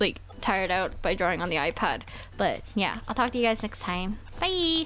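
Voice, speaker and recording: Over music in the background, a woman speaks at a moderate pace and medium pitch with lively intonation. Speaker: artist and tablet reviewer. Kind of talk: casual voiceover commentary. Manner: casual with many fillers.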